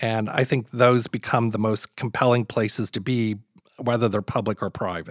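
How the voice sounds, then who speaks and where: A man with an American accent talks at a moderate pace in an ordinary speaking voice, medium in pitch, with fairly even intonation and a dry, close sound with no echo. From US South, Kentucky (near Louisville). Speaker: landscape designer. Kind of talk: interview.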